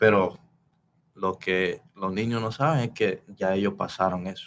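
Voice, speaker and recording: A man talks at a fairly slow pace, his pitch fairly low and his intonation showing ordinary variation. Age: 20s. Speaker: martial arts instructor. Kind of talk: casual chat. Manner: halting.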